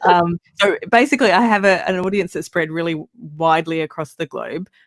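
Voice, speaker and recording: A woman with an Australian accent speaks at a fairly quick pace and a fairly low pitch, with ordinary pitch variation. The sound is dry and close, with no echo. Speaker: podcaster. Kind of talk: casual chat. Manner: hesitant, many ums.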